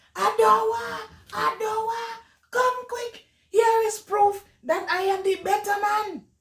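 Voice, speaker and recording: A woman uses a put-on character voice that is loud, squeaky and extremely high in pitch. She talks at a fairly slow pace. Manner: loud, calling out, boastful.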